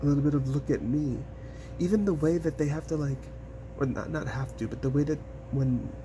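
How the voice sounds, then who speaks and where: A man keeps a moderate tempo while noticeable noise runs behind him. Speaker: tarot reader. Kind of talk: tarot reading.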